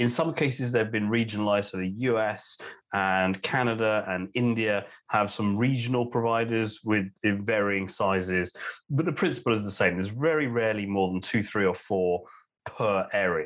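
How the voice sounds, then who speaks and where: Against a quiet background, a man in a London accent speaks at a fairly low pitch and moderate pace, with ordinary pitch variation. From London, England. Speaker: telecom analyst. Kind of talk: casual interview chat. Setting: home, remote call.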